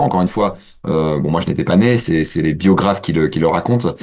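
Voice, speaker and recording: A man's pitch varies in an ordinary way as he talks very fast. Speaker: political science lecturer. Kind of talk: radio interview. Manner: halting, many hesitations.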